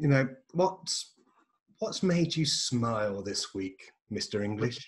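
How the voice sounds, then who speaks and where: Speaking at a very slow pace, a man uses a medium pitch with very wide swings. His voice is somewhat breathy. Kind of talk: casual chat.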